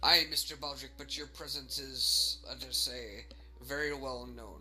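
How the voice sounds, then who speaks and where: Clear background noise behind a man's put-on character voice, fairly slow in pace. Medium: actual play. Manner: blunt, gruff, commanding.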